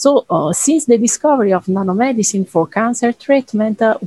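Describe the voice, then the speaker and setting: A dark, mellow, somewhat breathy voice with an Italian accent, ordinary pitch variation and a dry, close sound with no echo. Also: woman. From Italy. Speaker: cancer researcher. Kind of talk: interview.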